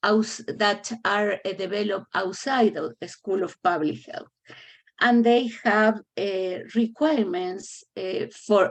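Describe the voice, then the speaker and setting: A woman's fairly high voice in a non-native accent, very slow in pace, with ordinary pitch variation. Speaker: public health faculty member. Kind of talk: meeting presentation. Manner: halting, many fillers.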